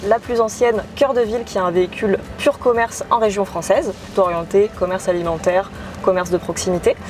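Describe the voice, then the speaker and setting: A woman's medium-pitched voice at a fairly quick pace, with ordinary pitch variation and very even loudness over noticeable background noise. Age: 20s. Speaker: real estate investment partnership manager. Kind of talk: interview.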